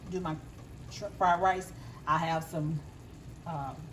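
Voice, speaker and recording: A woman with a Southern US accent and a very deep, low pitch speaks amid audible room echo. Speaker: home cook. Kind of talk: cooking tutorial. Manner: casual, conversational.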